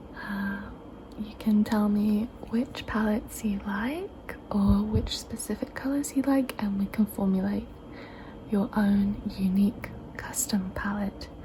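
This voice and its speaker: The speaker is soft-spoken and talks at a very slow pace. Noticeable background noise is present. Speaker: ASMR creator. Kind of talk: ASMR fabric show-and-tell, casual talk to camera. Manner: soft-spoken, chatty.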